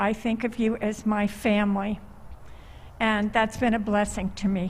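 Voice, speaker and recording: Somewhat breathy, a woman speaks at a fairly slow pace with a fairly high pitch. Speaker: congregation member, elder. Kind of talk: testimony.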